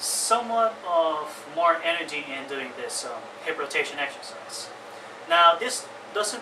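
A man speaks at a fairly slow pace in a high voice. Noticeable background noise runs underneath. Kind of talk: tutorial. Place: home room. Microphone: camera far.

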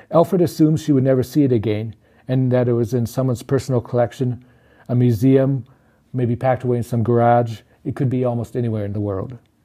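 Against a quiet background, a man with a Canadian accent talks at a very fast pace in a dark, mellow tone with fairly even intonation. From Saskatchewan, Canada (First Nation near Saskatoon); Saskatchewan, Canada. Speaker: author. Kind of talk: reading aloud; book reading. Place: home room.

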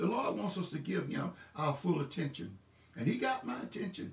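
A man speaks with very wide pitch swings. There is audible room echo. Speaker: pastor. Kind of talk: sermon / church message delivered online. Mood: warm and encouraging. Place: home room.

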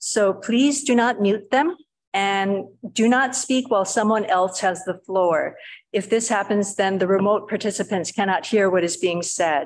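A woman talks at a very even loudness with ordinary pitch variation. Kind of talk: meeting housekeeping announcements. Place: meeting room. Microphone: podium.

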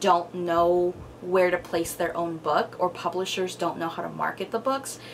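Over light background noise, a woman speaks at a fairly slow pace with a fairly low pitch. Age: 20s. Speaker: book vlogger. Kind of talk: casual vlog. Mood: thoughtful, relaxed. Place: home room.

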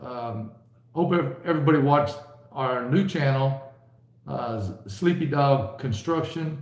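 Somewhat breathy voice with audible room echo. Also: man. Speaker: livestream host. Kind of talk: casual livestream chat. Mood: relaxed, jokey. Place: home room. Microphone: webcam.

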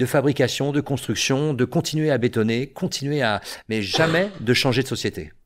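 His pace is moderate. The man's pitch shows ordinary variation. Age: 50s. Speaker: theatre teacher. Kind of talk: casual chat; interview answer. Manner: halting. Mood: engaged, explanatory. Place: studio. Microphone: studio mic.

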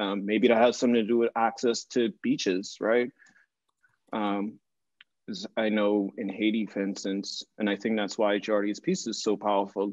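A man's fairly low, flat monotone at a moderate pace against a quiet background. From Bahamas. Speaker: visual artist; panelist. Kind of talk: panel discussion. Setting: video call. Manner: rambling. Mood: thoughtful, earnest. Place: studio. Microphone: video call.

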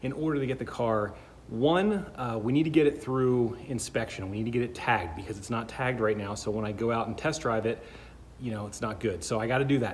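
A somewhat breathy man talks at a very fast pace with ordinary pitch variation over light background noise. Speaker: car hobbyist vlogger. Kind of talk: casual vlog chat. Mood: upbeat, joking about heat. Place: garage. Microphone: phone near.

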